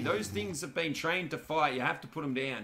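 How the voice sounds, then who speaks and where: In an Australian accent, a man speaks at a fairly quick pace with an animated tone and lively intonation over light background noise. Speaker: gaming streamer. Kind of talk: live gameplay commentary. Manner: casual, animated.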